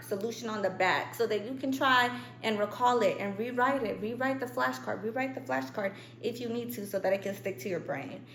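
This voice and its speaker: With very wide pitch swings, a woman talks at a fairly high pitch against noticeable background noise. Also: fairly quick pace. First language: not English. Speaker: student youtuber. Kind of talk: tutorial. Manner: casual, chatty.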